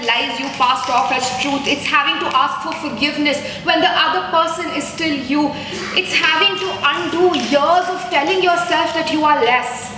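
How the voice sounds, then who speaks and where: Over noticeable background noise, a woman uses a raised, projected voice at a high pitch with ordinary pitch variation. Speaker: poet. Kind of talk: live poetry performance. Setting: live event at an art gallery.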